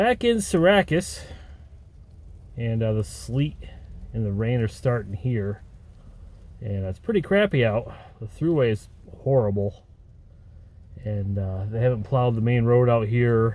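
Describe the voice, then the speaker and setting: Pausing long and often, a man speaks in a somewhat breathy voice with a dark, mellow tone, the sound dry with no echo. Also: fairly slow pace. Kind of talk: casual vlog chat. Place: car. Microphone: phone near.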